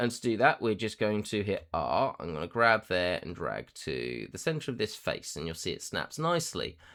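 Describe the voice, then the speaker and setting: Vocal fry marks this man's delivery as he swings his pitch very widely at a moderate pace, in a very clean recording with a silent background. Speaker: 3D software tutorial creator.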